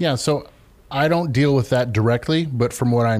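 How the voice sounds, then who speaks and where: With an American accent, a man talks in a dark, mellow tone with ordinary pitch variation. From US Midwest, Columbus, Ohio. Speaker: lumber company salesman. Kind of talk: radio interview.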